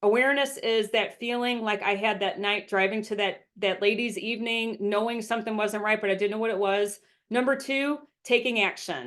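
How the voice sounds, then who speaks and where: A woman with an unremarkable speaking voice talks at a fairly high pitch and a moderate pace. The background is quiet. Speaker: habits and success coach, speaker. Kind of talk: presentation talk. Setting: virtual event. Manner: frequent um fillers.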